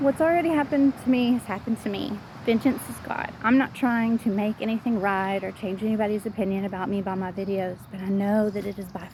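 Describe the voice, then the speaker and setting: Speaking in a Southern US accent, a woman talks at a moderate pace and medium pitch with ordinary pitch variation. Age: 40s. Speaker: vlogger. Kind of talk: personal vlog monologue. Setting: outdoors, walking.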